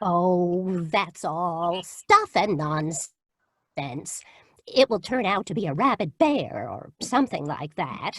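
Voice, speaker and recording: A put-on character voice, female-sounding, at a very slow pace. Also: medium pitch for a woman. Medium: stage play. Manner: sweetly genteel.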